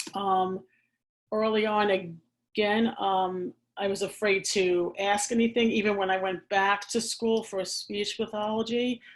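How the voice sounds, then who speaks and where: With an American accent, a woman talks at a fairly slow pace in a medium pitch, her intonation monotone and flat. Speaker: speech language pathologist. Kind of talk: casual chat. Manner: halting.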